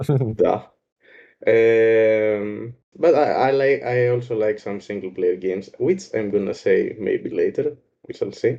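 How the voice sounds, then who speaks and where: A man with a Greek accent speaks at a very slow pace. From Greece. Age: 20s. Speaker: gaming clan member. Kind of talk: casual chat. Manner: halting.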